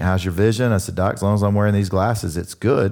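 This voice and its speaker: The man's pitch is fairly low. The recording is very clean, with a silent background. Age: 50s. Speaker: pastor. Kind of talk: sermon.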